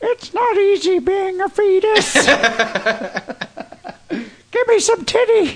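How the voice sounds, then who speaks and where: A squeaky, put-on character voice sits at an extremely high pitch. It moves at a fairly slow pace with long, frequent pauses. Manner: comedic, puppet-like.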